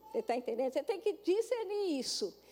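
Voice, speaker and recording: With noticeable background noise behind it, the voice sounds animated and makes very wide pitch swings. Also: woman. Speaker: pastor. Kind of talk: sermon.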